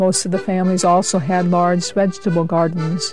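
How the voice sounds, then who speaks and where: Over music in the background, a woman with a fairly low pitch talks at a moderate pace with fairly even intonation. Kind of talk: documentary narration.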